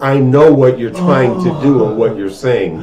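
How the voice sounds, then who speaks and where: A man talks at a fairly high pitch. Audible room echo and noticeable background noise surround him. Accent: American. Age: 60s. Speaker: podcast co-host. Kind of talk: casual chat.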